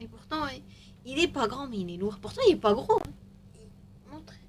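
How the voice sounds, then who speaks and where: A woman talks at a fairly slow pace. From northern France. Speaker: vlogger. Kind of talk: casual vlog monologue. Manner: rambling, hesitant; hushed, near whisper.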